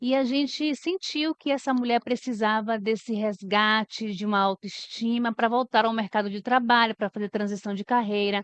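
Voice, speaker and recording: Pitched fairly high, a woman talks at a moderate pace with ordinary pitch variation and hardly any pauses, an unremarkable speaking voice recorded dry and close with no echo against a quiet background. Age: 40s. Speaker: HR manager. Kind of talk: podcast interview.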